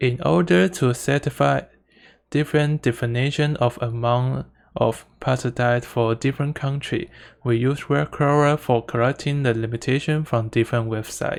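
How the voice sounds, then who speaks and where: On a very clean recording with a silent background, someone with a non-native accent speaks at a moderate pace. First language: Mandarin Chinese. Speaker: student presenter. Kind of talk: conference presentation. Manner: halting, with self-corrections.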